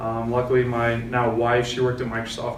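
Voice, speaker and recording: Noticeable background noise and audible room echo surround a speaker with an American accent who talks at a fairly quick pace in a monotone, flat intonation. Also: man. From US West Coast, San Francisco Bay Area, California. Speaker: real estate agent. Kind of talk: panel discussion.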